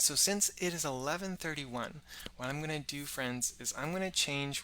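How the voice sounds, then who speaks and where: A soft-spoken man talks with a bright, sharp tone. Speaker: science educator. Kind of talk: live-stream kids' science show. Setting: live stream on social media. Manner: friendly, addresses kids warmly.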